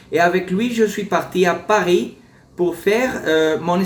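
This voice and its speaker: Spoken with a Spanish accent at a fairly slow pace, this voice has ordinary pitch variation and audible room echo. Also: man. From Colombia, Cali. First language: Spanish (speaking French). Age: 40s. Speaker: surgeon. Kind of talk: interview. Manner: halting.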